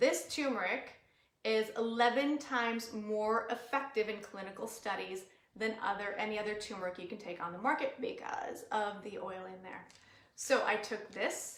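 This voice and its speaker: A woman with an American accent, animated tone and fairly high pitch, moderate pace, ordinary pitch variation, big swings in loudness and audible room echo. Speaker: natural wellness educator. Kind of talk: live webinar talk.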